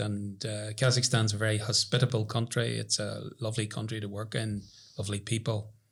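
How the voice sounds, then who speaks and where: The speaker talks at a fairly quick pace with a Northern Irish accent, sounding somewhat breathy. The recording is very clean, with a silent background. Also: man. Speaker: professor. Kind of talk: casual chat.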